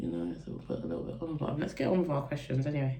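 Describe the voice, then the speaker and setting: A woman with a London accent and a very deep, low pitch speaks in an animated tone, with audible room echo around her. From east London, Essex. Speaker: beauty and lifestyle vlogger. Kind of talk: get-ready-with-me chat and Q&A.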